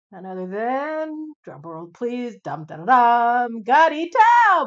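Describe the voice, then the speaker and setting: A woman performs a put-on character voice, high-pitched, raised and projected, with very wide pitch swings and big swings in loudness. She speaks at a very slow pace. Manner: dramatic, booming, showy.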